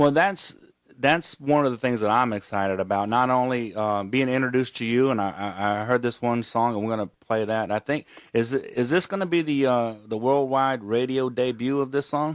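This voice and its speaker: Speaking with a slight Gulf Coast accent, a man has medium pitch and ordinary pitch variation. His pace is moderate. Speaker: radio host. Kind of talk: radio interview.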